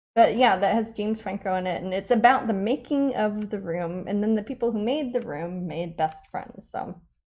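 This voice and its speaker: Hardly pausing, a woman speaks at medium pitch with a Midwestern US accent. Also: ordinary pitch variation, moderate pace. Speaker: artist, painter. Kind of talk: live painting stream chat. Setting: live broadcast at home studio. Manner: casual, many fillers.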